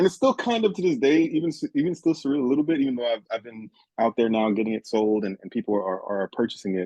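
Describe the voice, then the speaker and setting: Dark and mellow in tone, this voice with a Haitian accent moves at a very fast pace with very wide pitch swings in a dry, close sound with no echo. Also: man, medium pitch for a man. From Haiti, raised in South Florida. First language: Haitian Creole. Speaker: author and teacher. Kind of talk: interview. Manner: halting.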